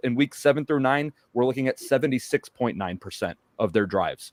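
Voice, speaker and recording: The recording is close and dry, with no echo. A man talks at a middle pitch. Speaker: sports podcast panelist. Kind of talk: casual sports discussion. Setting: live stream. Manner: fast.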